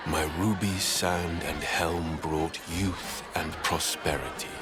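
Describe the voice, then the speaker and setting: Over loud background noise, a man puts on a character voice, very deep and low in pitch, and speaks at a very slow pace. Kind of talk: solemn film voice-over. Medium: short film. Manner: grave, measured.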